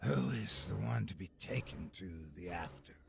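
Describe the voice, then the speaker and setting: A put-on character voice, raspy and hissing, with a menacing tone. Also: man, very deep, low pitch for a man, moderate pace. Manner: menacing, eerie.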